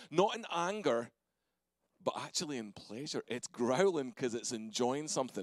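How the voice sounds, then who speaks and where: Someone with a Scottish accent talks at a moderate pace, the sound dry with no echo and the background quiet. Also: man. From Scotland. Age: 40s. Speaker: pastor. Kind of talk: sermon. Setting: church. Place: church. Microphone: handheld.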